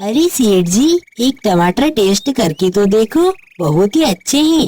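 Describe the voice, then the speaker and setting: A cartoonish character voice at a moderate pace, full of very wide pitch swings. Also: female-sounding voice, fairly high pitch for a woman. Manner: earnest, polite.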